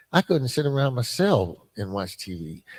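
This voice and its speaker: On a very clean recording with a silent background, a man with a medium pitch speaks in a somewhat breathy voice with very wide pitch swings. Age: 70s. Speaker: former prisoner and recovery mentor. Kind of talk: testimony. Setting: live podcast at a church conference. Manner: halting, many fillers.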